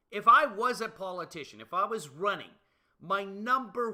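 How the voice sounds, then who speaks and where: A man's raised, projected voice, bright and sharp in tone, at a fairly slow pace. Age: 50s. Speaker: livestream host. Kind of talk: casual chat.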